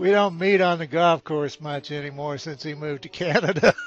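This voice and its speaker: Noticeable background noise is present. The speaker talks at a moderate pace with an American accent. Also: man. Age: 60s. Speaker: gaming YouTuber. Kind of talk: casual chat.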